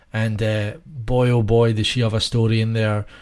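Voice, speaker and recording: A man talks at a moderate pace and medium pitch in a flat, monotone way, recorded very cleanly against a silent background. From Scotland. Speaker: podcast co-host. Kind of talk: casual chat. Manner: hesitant, filler-heavy.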